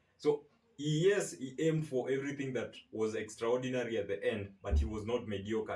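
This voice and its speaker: The man's voice carries some breathiness. His pace is fairly quick. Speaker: podcast host. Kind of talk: interview host talk.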